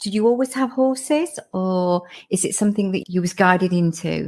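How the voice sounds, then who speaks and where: The speaker's pace is moderate, the intonation lively. The voice is somewhat breathy. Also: woman, very clean recording, silent background. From Lincolnshire, England. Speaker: podcast host, equine communicator. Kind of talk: interview. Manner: casual.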